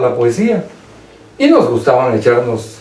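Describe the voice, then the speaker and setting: Noticeable background noise fills the recording. This man's pace is fairly slow. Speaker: lawyer, old schoolmate. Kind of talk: radio interview.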